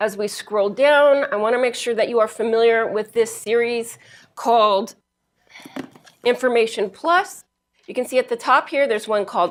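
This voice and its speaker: Fairly high-pitched with ordinary pitch variation, a woman's voice comes through a very clean recording with a silent background. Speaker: librarian. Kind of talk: library instruction presentation to a class. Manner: fast.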